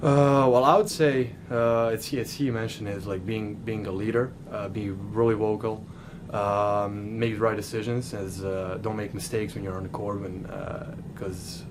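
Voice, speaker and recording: A man with a Serbian accent, fairly low in pitch, with audible room echo. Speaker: college basketball player. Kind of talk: press interview. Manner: halting.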